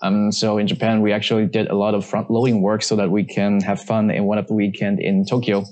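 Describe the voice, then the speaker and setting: In a fairly low, flat monotone, a man talks very fast at a very even loudness. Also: hardly any pauses. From China. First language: Chinese. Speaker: management consultant. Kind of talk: casual interview chat. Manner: halting.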